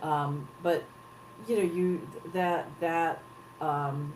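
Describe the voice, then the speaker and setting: A woman with a slight Southern US accent, fairly low in pitch with ordinary pitch variation, at a very slow pace over noticeable background noise. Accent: American with slight Southern twang. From Texas, US South. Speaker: head of an advocacy organization. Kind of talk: interview. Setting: live broadcast.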